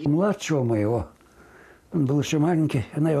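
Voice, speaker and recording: His dark, mellow tone is somewhat breathy, and this man speaks with lively intonation. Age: 80s+. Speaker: radio announcer. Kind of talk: interview answer. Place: home room. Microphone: lapel.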